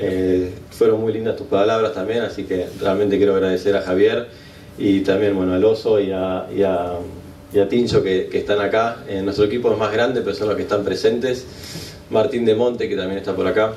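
At a fairly quick pace, a man speaks in a fairly low pitch with monotone, flat intonation, amid audible room echo and light background noise. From Argentina, San Isidro area. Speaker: Olympic medalist sailor. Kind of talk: thank-you speech. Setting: awards event with live audience. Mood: grateful, humble. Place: hall. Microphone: podium.

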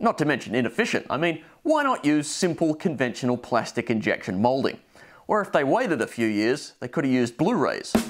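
With music in the background, a man with an Australian accent talks at a fairly quick pace, his pitch swinging very widely. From Adelaide, Australia. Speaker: show presenter. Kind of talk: comedic VHS review narration. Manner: dry, humorous. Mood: dry, wry humor. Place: home room. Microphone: lapel.

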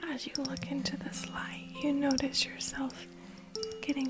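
A woman's voice over loud background music. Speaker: ASMR roleplay creator. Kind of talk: roleplay ASMR chat. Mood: cheerful, warm. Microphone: studio mic.

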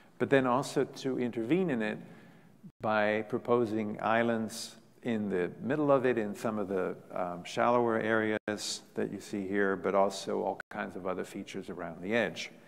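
A man with a fairly low pitch speaks at a moderate pace, his pitch moving in an ordinary way. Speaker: guest lecturer. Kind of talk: lecture. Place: hall. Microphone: podium.

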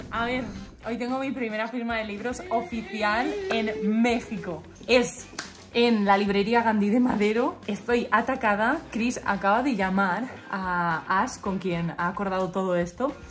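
A woman speaks at a fairly slow pace and fairly high pitch with ordinary pitch variation. Light background noise can be heard. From Spain. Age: 20s. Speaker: vlogger and author; vlogger. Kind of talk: casual vlog chat. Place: home room. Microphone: phone near.

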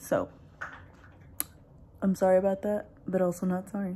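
Light background noise runs under the recording. A woman speaks in a somewhat breathy, dark, mellow tone. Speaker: vlogger. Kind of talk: casual vlog chat. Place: kitchen. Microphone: phone near.

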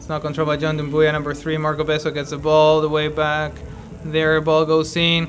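With a little noise in the background, a man talks at a middling speed. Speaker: amateur match commentator. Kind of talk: commentary. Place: stadium.

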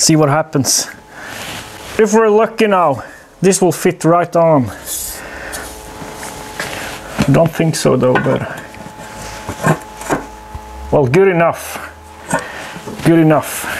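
Over noticeable background noise, a man speaks very slowly at a high pitch with ordinary pitch variation and long, frequent pauses. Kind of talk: casual workshop commentary. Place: workshop.

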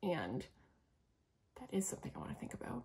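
In a Canadian accent, a woman speaks at a medium pitch with very wide pitch swings and vocal fry. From Canada. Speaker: knitting YouTuber. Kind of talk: casual solo vlog monologue. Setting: solo video recorded to camera. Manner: fast talker; animated. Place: home room.

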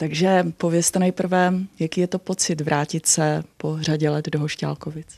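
Against a quiet background, a woman speaks fairly slowly in a very deep, low, dark and mellow voice with monotone, flat intonation. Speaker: interviewer host. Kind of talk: TV interviewer, local programme. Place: meeting room. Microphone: handheld.

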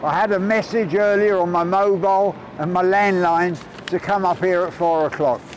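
At a moderate pace and a high pitch, a man talks over noticeable background noise. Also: dry sound with no echo. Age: 70s. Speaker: homelessness campaigner, ex-homeless reformed drug addict. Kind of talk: casual talk to camera. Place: street.

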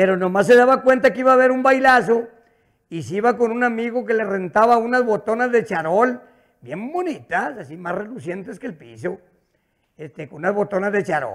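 A man with a northern Mexican accent speaks at a fairly quick pace and high pitch in an animated, playful tone, with lively intonation and big swings in loudness over a quiet background. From northern Mexico. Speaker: stand-up comedian. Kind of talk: stand-up comedy, rural joke-telling with an audience. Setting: stage with audience. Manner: animated, rapid-fire storyteller who acts out dialogue with 'dijo' repetition; colloquial, with stutters and repeated words, coarse and playful. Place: studio. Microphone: handheld.

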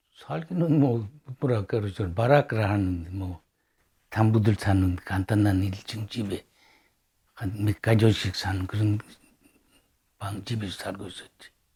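Long, frequent pauses break up a man's very slow, somewhat breathy speech, his tone dark and mellow, with ordinary pitch variation and big swings in loudness. The recording is very clean, with a silent background. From Sakhalin, Russia. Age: 80s+. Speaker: oral history narrator, Sakhalin Korean. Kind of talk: oral history interview. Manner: halting.

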